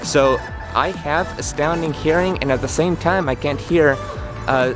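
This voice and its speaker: A man talks at a fairly slow pace with fairly even intonation. The sound is dry with no echo, and music plays clearly in the background. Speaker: vlogger. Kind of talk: casual vlog chat. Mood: earnest, explanatory. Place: street. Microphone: phone near.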